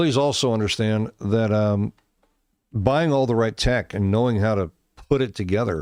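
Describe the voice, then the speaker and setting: A man's ordinary speaking voice at medium pitch and a moderate pace, with ordinary pitch variation, very even loudness, and a dry, close sound with no echo against a quiet background. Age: 60s. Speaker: presentation and sales coach. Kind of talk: casual chat with sales pitch.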